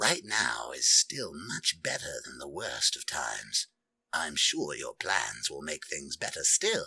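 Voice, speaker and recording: A man's put-on character voice at a fairly slow pace. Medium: read story. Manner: deferential.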